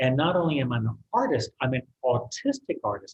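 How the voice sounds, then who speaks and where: Somewhat breathy speech from a man. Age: 60s. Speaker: artist. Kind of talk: interview.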